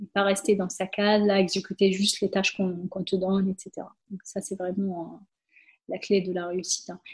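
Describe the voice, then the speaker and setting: At a moderate pace, a woman speaks in a medium pitch with monotone, flat intonation and a somewhat breathy sound. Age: 30s. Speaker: systems engineer. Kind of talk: casual interview.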